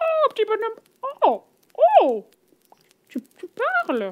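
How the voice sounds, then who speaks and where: A female-sounding put-on character voice squeaks at an extremely high pitch. It moves at a fairly slow pace. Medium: read story.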